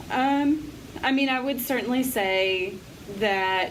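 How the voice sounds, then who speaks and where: Amid noticeable background noise and audible room echo, a woman talks at a fairly slow pace with ordinary pitch variation. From Appalachia. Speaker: nonprofit director. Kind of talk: interview.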